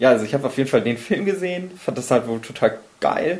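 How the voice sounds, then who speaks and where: A man's pitch swings very widely. Noticeable background noise runs behind him. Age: 20s. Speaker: podcast host. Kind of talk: casual chat.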